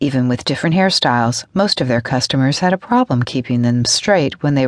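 Intonation here is lively. The text comes as plain reading aloud.

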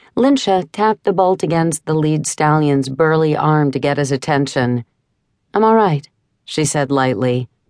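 A woman's very deep, low voice, fairly slow with lively intonation, in a dry, close sound with no echo and a quiet background. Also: very even loudness. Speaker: audiobook narrator. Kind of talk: dramatic audiobook narration of a fantasy novel, with voiced dialogue.

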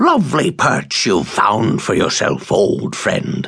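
The tone is dramatic. The pace is fairly slow. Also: man. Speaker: audiobook narrator. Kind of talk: audiobook narration of a fantasy novel. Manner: dramatic, measured storytelling with a hushed, suspenseful tone.

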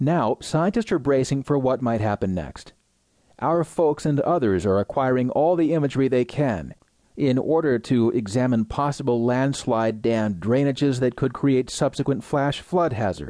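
This man has an ordinary speaking voice at a medium pitch, with ordinary pitch variation, a moderate pace and very even loudness over a quiet background. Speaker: audiobook narrator. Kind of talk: scripted news-magazine narration, read aloud. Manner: formal, measured and even, newsreader delivery; steady and neutral, with clear enunciation of names and figures.

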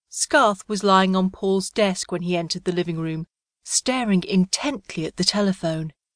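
The quiet background holds a stretch of plain reading aloud.

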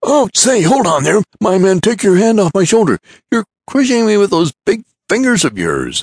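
A man's put-on character voice, high in pitch, at a moderate pace. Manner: remonstrating, quick and snappy.

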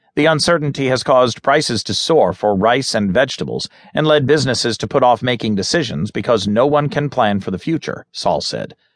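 With a normal speaking voice, a man at a medium pitch talks at a fairly quick pace with lively intonation and hardly any pauses. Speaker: audiobook narrator. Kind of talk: news reading, scripted newspaper article read aloud. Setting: studio recording. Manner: formal, steady and measured; neutral, serious, even-toned delivery.

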